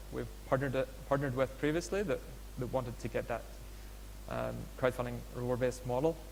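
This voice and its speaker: A man talks at a fairly quick pace. There is audible echo from the room. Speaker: startup founder presenting a crowdfunding platform. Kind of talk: conference presentation. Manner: fast; hesitant, many fillers.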